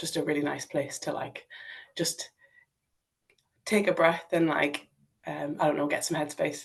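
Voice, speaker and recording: A woman with a northeast English accent and a very deep, low pitch speaks with vocal fry, monotone, flat intonation and long, frequent pauses. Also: moderate pace. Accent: northeast English (Sunderland). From northeast England, Sunderland. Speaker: climber and paraclimbing athlete. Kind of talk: podcast interview. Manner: casual, many fillers.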